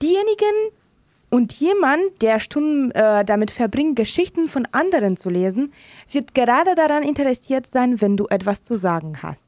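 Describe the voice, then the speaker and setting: Pitch jumps across a very wide range, though the speed stays moderate. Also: woman, high pitch for a woman. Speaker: radio host. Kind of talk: radio show presenting. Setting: studio.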